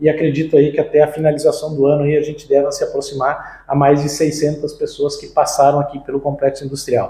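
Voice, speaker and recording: A somewhat breathy, dark, mellow tone at a fairly quick pace, with monotone, flat intonation. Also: man, fairly high pitch for a man. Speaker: agribusiness marketing and R&D director. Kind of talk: interview. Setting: on-site visit at company headquarters.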